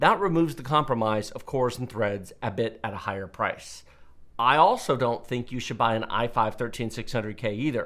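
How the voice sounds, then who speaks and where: At a moderate pace, a man with an American accent speaks with ordinary pitch variation over a quiet background. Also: medium pitch for a man. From Texas. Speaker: tech channel host. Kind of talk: Q&A commentary monologue. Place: studio. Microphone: headset.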